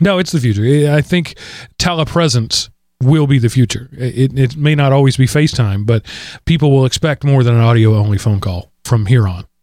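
A man with an American accent and an unremarkable speaking voice, medium in pitch with ordinary pitch variation, at a fairly quick pace, on a very clean recording with a silent background. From Texas. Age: 40s. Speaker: podcast host. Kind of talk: casual chat.

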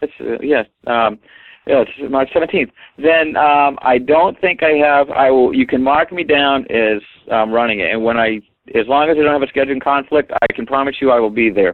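A man talks at a moderate pace in a fairly high voice, its pitch shifting in an ordinary way. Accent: New England. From Maine, US (Portland). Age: 50s. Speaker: weight-loss marathon runner. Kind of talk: interview.

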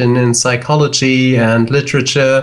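This is a man speaking. He has a German accent. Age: 30s. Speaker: psychologist. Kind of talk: casual chat. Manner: halting.

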